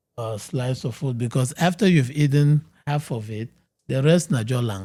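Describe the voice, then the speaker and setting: A man's somewhat breathy voice with a dark, mellow tone, medium pitch and lively intonation. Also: moderate pace. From Cameroon. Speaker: medical doctor, weight loss expert. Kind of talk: podcast interview.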